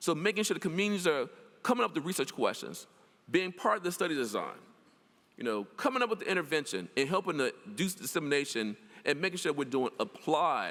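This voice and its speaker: High and bright, a man's sharp voice with a Mississippi accent rushes at a very fast pace, animated and swinging very widely in pitch. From US South. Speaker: professor. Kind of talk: lecture.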